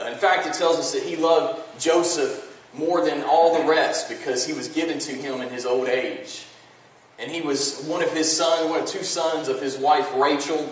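Through audible room echo, a man speaks at a moderate pace with fairly even intonation. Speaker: pastor. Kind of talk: sermon. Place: church.

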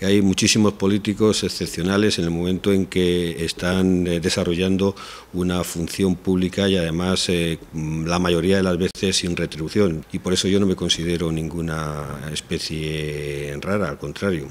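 At a moderate pace, a man speaks in a very deep, low pitch. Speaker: interviewee. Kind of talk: interview answer. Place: hall. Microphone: handheld.

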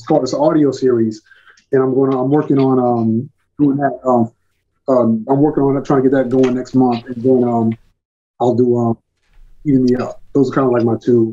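At a fairly quick pace, a man with an American accent speaks in a dark, mellow tone at medium pitch with little pitch movement.

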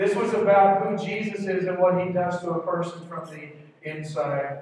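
Strong room echo surrounds a man speaking at a fairly slow pace in a high pitch with fairly even intonation. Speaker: pastor. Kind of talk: sermon. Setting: church with congregation. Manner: urgent, earnest, rallying the congregation. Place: church.

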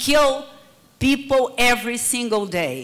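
A woman with a Brazilian accent speaks at a high pitch. Her pitch varies in an ordinary way, and she talks very slowly. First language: Portuguese. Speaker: public security researcher. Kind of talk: conference panel talk. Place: hall. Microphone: handheld.

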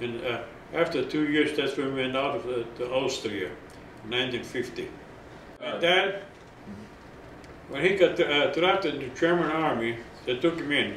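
Over light background noise and audible room echo, a man speaks with a fairly high pitch and ordinary pitch variation. He takes long, frequent pauses. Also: moderate pace. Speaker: oral history interviewee, camp survivor. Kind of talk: oral history interview, recounting personal story to camera. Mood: calm recollection of hardship. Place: home room.

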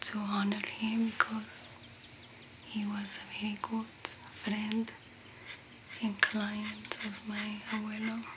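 Loud background noise sits behind a woman's voice. She speaks at a very slow pace with long, frequent pauses. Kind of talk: soft-spoken roleplay chat to camera. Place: home room.

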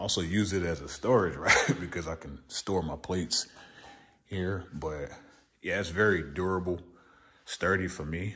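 A man with a very deep, low pitch speaks at a moderate pace with ordinary pitch variation and long, frequent pauses. His loudness swings widely, and there is light background noise. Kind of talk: casual vlog chat. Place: garage. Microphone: phone near.

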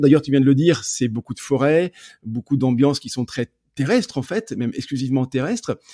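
On a very clean recording with a silent background and a dry, close sound with no echo, a man with a dark, mellow tone speaks at a medium pitch and a fairly quick pace with ordinary pitch variation. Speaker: podcast host and photography coach. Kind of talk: podcast interview.

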